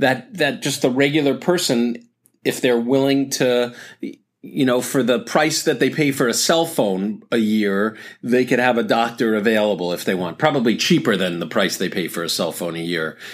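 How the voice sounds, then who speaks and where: At a moderate pace, a man with a plain, everyday voice talks at medium pitch using lively intonation. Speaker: doctor podcast host. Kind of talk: casual chat. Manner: casual, rambling, self-correcting.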